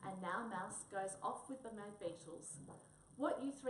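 What you hear is an unforced reading voice.

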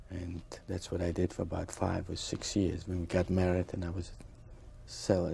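Over light background noise, a man with a very deep, low pitch talks at a moderate pace in a monotone, flat way, his dark, mellow tone somewhat breathy. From Poland (Bochnia, near Krakow); Poland. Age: 60s. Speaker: Holocaust survivor; interviewee. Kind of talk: testimony. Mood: reflective, earnest. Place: studio.

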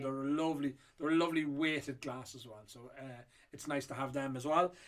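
Against a quiet background, a man with an Irish accent and a fairly high voice speaks at a fairly quick pace with fairly even intonation. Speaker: whiskey auctioneer. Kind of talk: casual talk to camera. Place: shop.

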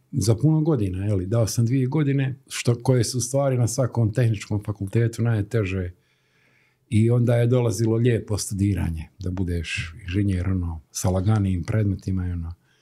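A man with a fairly low pitch speaks at a moderate pace, his voice somewhat breathy with a dark, mellow tone. His pitch variation is ordinary, and the background is quiet. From Bosnia and Herzegovina, Stolac; Bosnia and Herzegovina. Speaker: graphic designer; interview guest. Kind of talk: interview. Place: studio. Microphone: studio mic.

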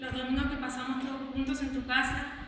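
Amid strong room echo, a woman speaks high for her sex at a fairly quick pace, with a fairly bright tone and little pitch movement.

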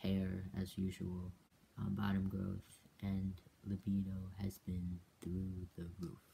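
With an American accent, a man speaks at a very slow pace in a very deep, low pitch, his dark, mellow tone somewhat breathy and his intonation monotone and flat, with light background noise. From US, Korean American. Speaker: video blogger. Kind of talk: video diary update. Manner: casual, slightly hesitant. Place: home room. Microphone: webcam.

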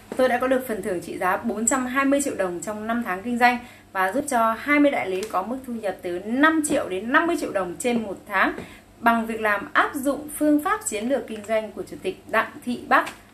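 Over light background noise, a woman talks at a fairly quick pace with lively intonation. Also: fairly high pitch for a woman. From northern Vietnam, Bac Giang; northern Vietnam. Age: 30s. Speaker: cosmetics sales distributor; sales agent promoting a business. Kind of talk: sales pitch. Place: home room. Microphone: phone near.

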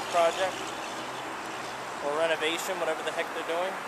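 The sound is dry with no echo, yet loud background noise runs under a man talking at a fairly quick pace. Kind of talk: casual vlog commentary. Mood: wary, slightly suspicious. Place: street. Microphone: phone near.

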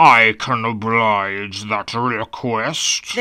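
A man's put-on character voice at a medium pitch. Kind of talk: grand formal proclamation. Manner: pompous, stiff.

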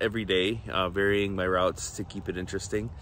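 A man's bright, sharp tone at a moderate pace, in a dry sound with no echo. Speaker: vlogger. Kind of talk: casual vlog chat. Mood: relaxed, slightly self-conscious. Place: open country. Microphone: phone near.

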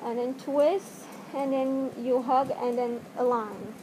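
Noticeable background noise sits behind a woman with a non-native accent. Her pitch is high. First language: not English. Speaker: video tutorial maker. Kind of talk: tutorial. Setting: home video, speaking to camera wearing a mask. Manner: halting, hesitant with many fillers. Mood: hesitant, apologetic. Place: home room. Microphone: webcam.

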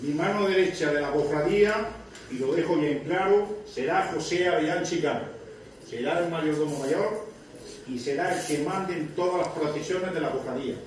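A man talks fairly slowly at a high pitch with ordinary pitch variation. Strong room echo and light background noise fill the recording. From Spain, Lorca (Murcia). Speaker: newly elected brotherhood president. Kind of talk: acceptance speech. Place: hall. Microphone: camera far.

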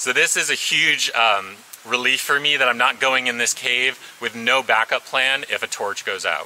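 A man's voice with light background noise. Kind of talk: casual vlog chat. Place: forest.

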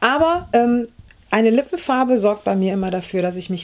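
Fairly high female speech with ordinary pitch variation, moderately paced, in an ordinary speaking voice. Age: 40s. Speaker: beauty YouTuber. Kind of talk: makeup tutorial. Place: home room.

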